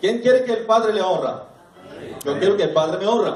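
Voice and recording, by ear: A high-pitched man with a slightly mellow tone, heard in strong room echo.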